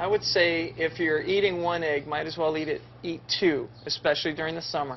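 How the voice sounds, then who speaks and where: Talking at a fairly quick pace with hardly any pauses, a man with an American accent has a fairly high pitch and fairly even intonation. Light background noise is present. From US Southwest. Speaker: egg farmer. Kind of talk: live educational Q&A. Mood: friendly, light-hearted. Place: farm.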